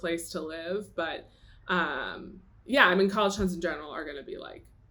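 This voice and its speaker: A woman's fairly low voice at a moderate pace, with ordinary pitch variation and audible room echo. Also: big swings in loudness. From Atlanta, US South. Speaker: guest on a podcast. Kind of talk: casual chat. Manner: hesitant with many fillers.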